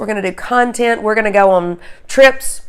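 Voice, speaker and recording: A woman speaks with a slight Southern US accent at a fairly high pitch, on a very clean recording with a silent background. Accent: slight Southern drawl. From US South. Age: 50s. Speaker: beauty and lifestyle vlogger. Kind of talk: channel intro vlog. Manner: halting, many fillers.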